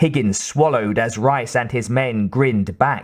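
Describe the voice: The speaker gives a plain reading aloud, with ordinary pitch variation.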